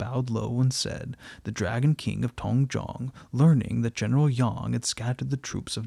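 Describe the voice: Here someone does plain reading aloud.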